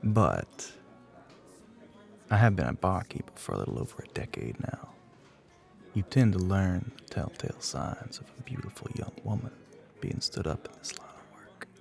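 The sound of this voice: Doing a put-on character voice in a Southern US accent, a man speaks low with vocal fry, big pitch swings and long, frequent pauses over faint background music. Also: moderate pace, slightly mellow tone.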